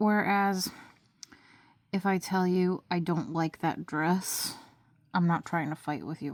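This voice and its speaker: In a very clean recording with a silent background, a woman with a fairly low pitch speaks at a fairly slow pace with ordinary pitch variation. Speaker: nail polish beauty vlogger. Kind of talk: casual talk to camera. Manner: confrontational, sarcastic.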